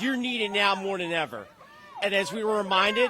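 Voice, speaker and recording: A man speaks in a raised, projected voice at a high pitch for a man and a moderate pace. Ordinary pitch variation comes through over noticeable background noise. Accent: Philadelphia. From Philadelphia, US. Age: 30s. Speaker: pro-life activist. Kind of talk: street interview. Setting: outdoors at a protest march.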